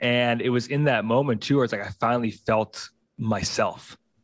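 A man talks at a medium pitch with fairly even intonation, in an ordinary speaking voice. The sound is dry and close with no echo, over a quiet background. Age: 30s. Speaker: physical therapist and movement coach. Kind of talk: casual chat.

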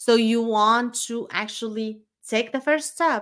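The pitch shows ordinary variation. The recording is very clean, with a silent background. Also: woman. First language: not English. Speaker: podcast host and business coach. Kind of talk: solo motivational monologue. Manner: casual, with frequent fillers and restarts.

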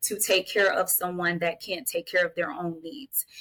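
A woman is speaking at medium pitch. She keeps a moderate pace. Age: 30s. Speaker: mental health advocate and family guardian. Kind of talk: interview conversation.

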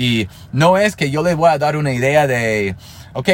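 A man speaks with a non-native accent and lively intonation. His voice is somewhat breathy. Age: 30s. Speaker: network marketer, podcast host. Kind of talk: motivational monologue. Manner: casual, conversational.

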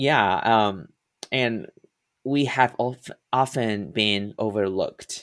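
A man with a Mandarin accent at a very slow pace, medium pitch and ordinary pitch variation, with long, frequent pauses. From Taiwan. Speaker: musical theater performer and acting professor. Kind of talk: interview. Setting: remote call.

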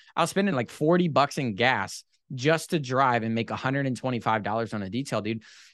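This man talks at a very fast pace in an animated tone. His intonation is lively. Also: medium pitch for a man. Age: 20s. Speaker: boat detailing business owner. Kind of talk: casual chat.

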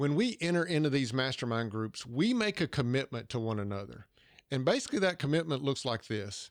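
A man with a Southern US accent talks at a fairly quick pace with lively intonation. The recording is very clean, with a silent background. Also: medium pitch for a man. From US South, Georgia. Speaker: podcast host, leadership coach. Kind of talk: episode recap; interview conversation.

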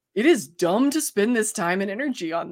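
An ordinary speaking voice from a woman, medium in pitch, at a moderate pace, on a very clean recording with a silent background. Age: 30s. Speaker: podcast guest, host's best friend. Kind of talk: casual chat.

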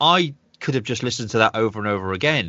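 A man with a Manchester accent speaks with ordinary pitch variation. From northwest England, Manchester. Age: 40s. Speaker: podcast host. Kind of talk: casual interview chat.

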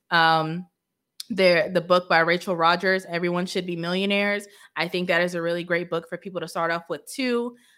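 A woman's fairly low voice at a fairly quick pace, fairly even in intonation, a plain, everyday voice. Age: 30s. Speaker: financial coach. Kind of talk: casual monologue.

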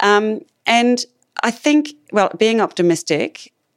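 A woman speaks with an Australian accent and a lively, bouncing intonation. The sound is dry and close, with no echo. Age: 50s. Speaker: clinical neuropsychologist. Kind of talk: interview.

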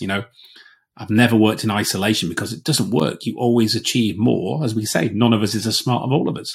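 Ordinary pitch variation marks talking that runs at a fairly quick pace. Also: man. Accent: Yorkshire. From Yorkshire, northern England. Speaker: business agility coach, former air force officer. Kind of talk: casual chat.

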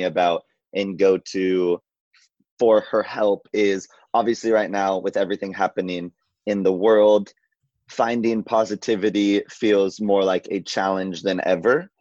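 A man speaks at a moderate pace in a fairly low pitch, with a plain, everyday voice, a dry, close sound with no echo, and a quiet background. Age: 20s. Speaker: journalist. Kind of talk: casual chat.

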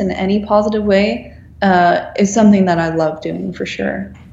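A woman is heard with audible room echo. Background noise is noticeable too. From Netherlands. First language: Dutch. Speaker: graphic designer. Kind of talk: interview.

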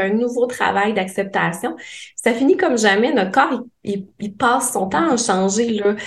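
Room echo can be heard around a woman's fairly high voice. Her intonation stays fairly even. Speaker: psychologist specializing in eating disorders. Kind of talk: casual chat.

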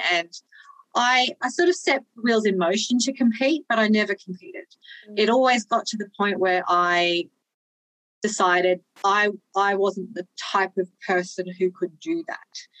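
In a dry, close recording with no echo, a woman of medium pitch speaks fairly slowly with lively intonation. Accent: Australian. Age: 40s. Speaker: online fitness coach and powerlifter. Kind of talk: casual interview chat.

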